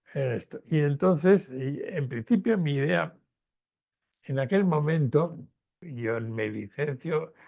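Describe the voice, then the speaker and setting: Somewhat breathy, a man's voice has a dark, mellow tone and a fairly high pitch. He leaves long, frequent pauses. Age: 80s+. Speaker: retired professor and historian of science. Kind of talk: interview conversation. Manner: halting, with fillers and repetitions.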